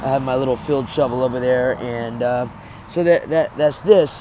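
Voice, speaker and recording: A man's voice over noticeable background noise. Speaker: home gardener and homesteader. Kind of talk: casual video walkthrough. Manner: many fillers and hesitations.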